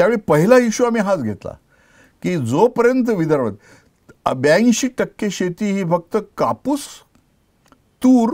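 Lively intonation stands out over a quiet background. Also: man, high pitch for a man. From India, Vidarbha (Buldhana district, Maharashtra); Maharashtra, India. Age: 70s. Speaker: agricultural scientist; interviewee. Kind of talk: interview. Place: studio. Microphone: lapel.

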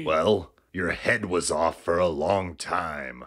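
A man speaks at a very slow pace in a very deep, low voice.

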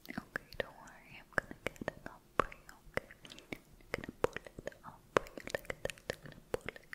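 A soft-spoken woman is whispering. She talks at a moderate pace. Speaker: roleplay host. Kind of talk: soft whispered roleplay talk. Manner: soft close-mic ASMR whisper. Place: home room.

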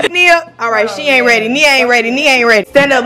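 A woman's high, raised, projected voice with an animated tone. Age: young. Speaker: vlogger. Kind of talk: casual vlog chat.

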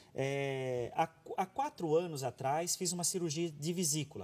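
This is a man speaking. His pitch is fairly high. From Brazil. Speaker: TV health show host. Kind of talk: reading viewer questions aloud. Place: studio.

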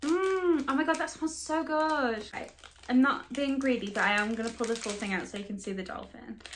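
Light background noise sits under a woman who talks at a high pitch and a fairly quick pace. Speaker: snack reviewer. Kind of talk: casual vlog chat. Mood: excited, playful. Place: home room. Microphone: phone near.

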